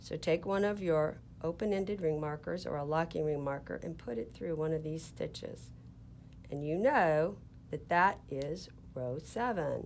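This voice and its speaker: A woman with a Southern US accent speaks at a very deep, low pitch with ordinary pitch variation. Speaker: knitting teacher, yarn shop owner. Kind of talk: tutorial. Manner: slow, deliberate.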